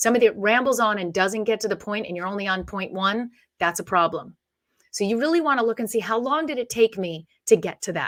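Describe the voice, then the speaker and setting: At a very fast pace, a woman of medium pitch talks with lively intonation on a very clean recording with a silent background. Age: 40s. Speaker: media coach. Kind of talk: interview.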